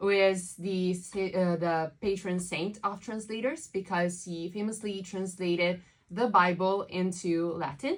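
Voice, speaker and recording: A woman with an Italian accent talks at a fairly slow pace with hardly any pauses and fairly even intonation. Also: medium pitch for a woman. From southern Italy. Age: 20s. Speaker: translator. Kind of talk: interview. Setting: studio.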